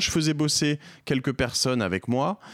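The recording is very clean, with a silent background. A man's voice comes through with a dry, close sound and no echo. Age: 40s. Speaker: entrepreneur and podcaster. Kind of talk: interview. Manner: halting, frequent repetitions and fillers.

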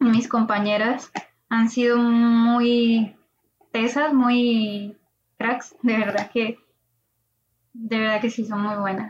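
A woman at a very slow pace, fairly high-pitched, with monotone, flat intonation. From Colombia. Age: 20s. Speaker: AI graduate student and startup cofounder. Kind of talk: interview.

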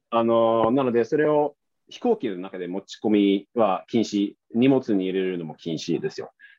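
With a Swedish accent, a man talks at a moderate pace and medium pitch, his intonation lively and his loudness swinging widely. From Sweden. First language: Swedish (speaking Japanese). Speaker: interview guest. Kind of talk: casual interview chat.

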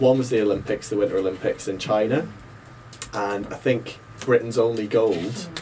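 A man's medium-pitched voice with a Northern Irish accent, ordinary pitch variation and a moderate pace, over noticeable background noise. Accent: Northern Irish (Ulster). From Northern Ireland, Ballymena. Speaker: teacher. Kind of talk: casual panel discussion.

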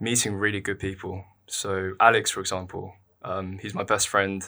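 Against a silent background in a very clean recording, a man with a London accent speaks at a fairly low pitch in a bright, sharp tone. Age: 20s. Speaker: university student and columnist. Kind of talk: casual interview.

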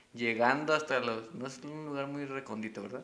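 A man with a Mexican accent speaks at a moderate pace. His voice is fairly high, with a bright, sharp tone. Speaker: podcast co-host. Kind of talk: casual chat.

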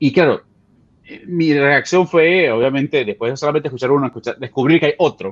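This man's voice sits at a medium pitch with lively intonation. The sound is dry and close, with no echo. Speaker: listener calling in. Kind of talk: casual chat. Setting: video call from home office.

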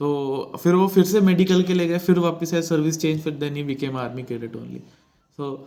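Dark and mellow in tone, a man speaks at a fairly high pitch with ordinary pitch variation. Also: moderate pace. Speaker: podcast host, former defence cadet. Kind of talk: casual interview chat. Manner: animated, laughing often.

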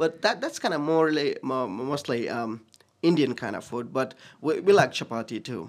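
Here a man speaks with a Nepali accent and a fairly high pitch. His intonation is lively and his pace moderate. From Bhutan/Nepal. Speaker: pastor. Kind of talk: casual interview chat.

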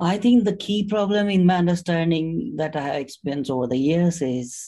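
Lively intonation and a fairly quick pace from a man, fairly high in pitch, dark and mellow in tone. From India. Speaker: software testing expert. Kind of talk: interview.

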